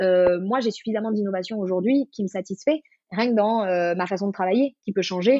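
Speaking very fast, a woman uses a medium pitch with ordinary pitch variation. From southern France, Marseille. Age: 30s. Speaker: self-knowledge coach. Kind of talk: casual interview.

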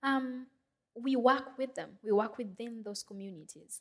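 Moderately paced, a woman with a Kenyan accent keeps her intonation fairly even. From Kenya, Nairobi. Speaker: social entrepreneur, founder of a clean stove company. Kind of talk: fireside chat on stage. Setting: stage with audience.

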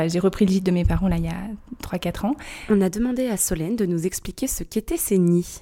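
A woman's medium-pitched voice with ordinary pitch variation at a moderate pace. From Brittany, Erquy area (Côtes-d'Armor). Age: 30s. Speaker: treehouse rental owner. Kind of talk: interview.

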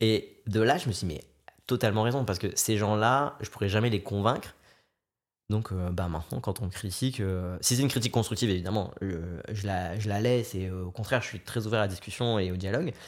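A man with an unremarkable speaking voice and fairly low pitch talks at a fairly quick pace on a very clean recording with a silent background. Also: ordinary pitch variation. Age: 20s. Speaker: content creator. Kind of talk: casual chat.

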